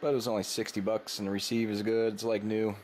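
A man's fairly low voice with little pitch movement, a slightly mellow tone, a fast pace and audible room echo

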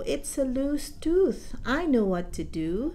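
Clear background noise beneath a fairly slow put-on character voice. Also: woman. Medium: read story.

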